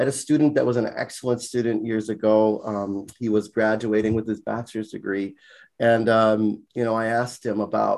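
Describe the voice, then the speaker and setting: A man with an American accent speaks at a medium pitch and a moderate pace, his intonation monotone and flat. The recording is very clean, with a silent background. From US Virgin Islands, St. Croix. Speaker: college sociology instructor. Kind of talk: casual interview.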